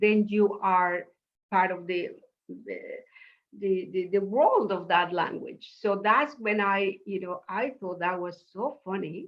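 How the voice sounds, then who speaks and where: Here a woman speaks with an Eastern European accent. Her pace is fairly slow. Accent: Eastern European-sounding accent in English. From Mexico City, Mexico. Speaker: professor and memoirist. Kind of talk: interview conversation. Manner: animated.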